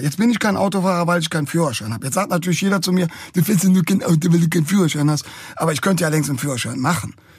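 The speaker races along at a very fast pace with lively intonation. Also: man. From Cologne, Germany. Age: 50s. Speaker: musician. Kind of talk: casual chat.

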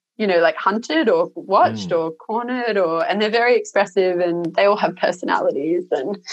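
In an Australian accent, a woman talks at a moderate pace with a medium pitch and lively intonation. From Australia, Sydney (Cronulla). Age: 30s. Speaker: sheep and lentil farmer. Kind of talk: casual interview chat.

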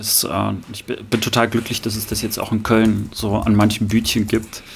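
A man speaks at a fairly low pitch and a moderate pace. His intonation is monotone and flat, with vocal fry. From Rostock, northeastern Germany. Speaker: podcast co-host. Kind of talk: casual chat.

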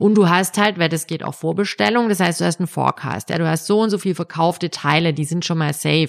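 Recorded very cleanly against a silent background, a woman speaks at a moderate pace with ordinary pitch variation, the sound dry and close with no echo. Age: 40s. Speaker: entrepreneur. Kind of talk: interview. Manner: hesitant, many filler sounds.

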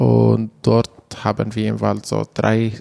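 A man speaks in an Arabic accent at a very slow pace. His pitch is fairly low. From Syria, Manbij near Aleppo. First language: Arabic (speaking German). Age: 20s. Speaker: refugee volunteer, community manager. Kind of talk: interview. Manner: halting.

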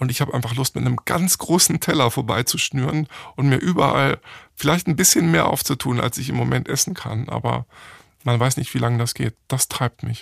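A man's medium-pitched voice with vocal fry, ordinary pitch variation, and a fairly quick pace, in a dry, close sound with no echo. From Germany, Hamburg. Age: 40s. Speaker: entrepreneur. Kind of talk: interview.

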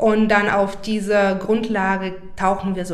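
A woman with a medium pitch talks against audible room echo and noticeable background noise. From Bulgaria, Burgas. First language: Bulgarian (speaking German). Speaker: poet. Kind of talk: interview conversation. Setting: in the guest's home.

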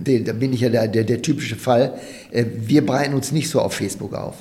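A dark, mellow tone marks the man's voice. There is a somewhat breathy quality to it. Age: 50s. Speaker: promotional products company director. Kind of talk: interview.

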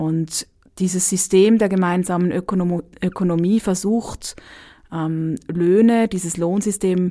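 On a very clean recording with a silent background, a woman speaks at medium pitch in a dark, mellow tone with ordinary pitch variation. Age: 30s. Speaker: dance therapist. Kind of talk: interview.

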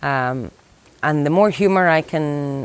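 With an Irish accent, a woman speaks at a very deep, low pitch with ordinary pitch variation. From Ireland. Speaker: conservation worker. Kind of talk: interview.

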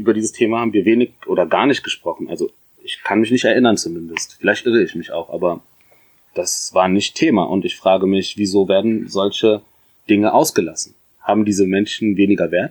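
At a fairly quick pace, a man with a fairly low pitch speaks with ordinary pitch variation. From Germany, Mainz (Ethiopian parents). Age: 30s. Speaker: podcast guest. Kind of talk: casual interview. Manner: halting.

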